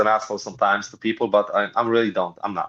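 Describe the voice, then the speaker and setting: With a Polish accent, a man talks at a very fast pace. The background is quiet. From Poland. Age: 50s. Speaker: pro wrestler. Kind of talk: interview.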